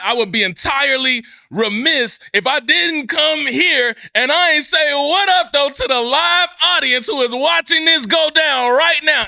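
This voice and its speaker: A man speaks in a raised, projected voice. His pitch is extremely high, with a bright, sharp tone. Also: lively intonation, fairly slow pace. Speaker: podcast host. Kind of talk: motivational podcast talk. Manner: high-energy, loud; enthusiastic, passionate.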